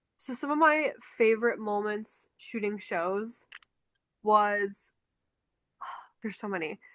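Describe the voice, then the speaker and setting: Against a quiet background, a woman with a fairly high voice and ordinary pitch variation speaks at a fairly slow pace, her loudness swinging widely and her pauses long and frequent. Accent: Chicago. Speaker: podcast co-host, concert photographer. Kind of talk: casual chat.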